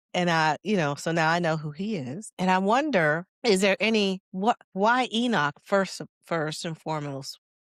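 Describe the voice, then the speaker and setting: On a very clean recording with a silent background and a dry, close sound with no echo, a woman speaks at a moderate pace with a fairly low pitch. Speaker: podcast host. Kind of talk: casual chat. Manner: halting.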